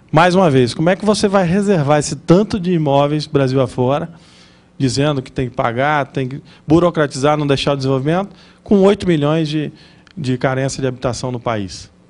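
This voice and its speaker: His speech moves fairly quickly, and his pitch sits fairly high. The pitch rises and falls in an ordinary way for this man. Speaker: lecturer on property law. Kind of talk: lecture. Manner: fast.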